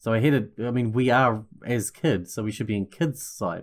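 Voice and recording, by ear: Someone reads aloud, and the voice sounds natural.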